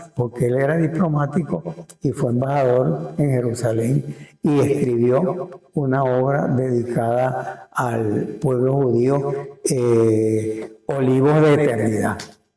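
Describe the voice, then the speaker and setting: A man's somewhat breathy, dark, mellow voice at medium pitch, with lively intonation, very even loudness and a very slow pace. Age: 80s+. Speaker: town chronicler. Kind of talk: interview answer. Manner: hesitant, repetitive.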